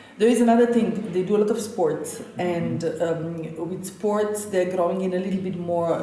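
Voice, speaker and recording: Moderate pace and ordinary pitch variation in a Slovenian accent, with noticeable background noise and audible room echo. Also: woman. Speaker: chef. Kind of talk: interview.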